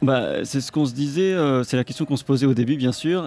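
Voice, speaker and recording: A man's medium-pitched voice, an ordinary speaking voice with ordinary pitch variation. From Israel. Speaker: jazz pianist. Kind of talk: live radio interview. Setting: live at a jazz club.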